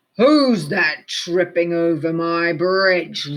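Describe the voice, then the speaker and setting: Bellowing and booming in a put-on character voice, the speaker holds a middle pitch and a very slow pace. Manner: roaring, booming.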